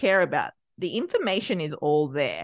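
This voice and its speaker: A woman with an Australian accent and vocal fry, at a moderate pace with very wide pitch swings, against a quiet background. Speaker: podcast producer and business owner. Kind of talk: interview.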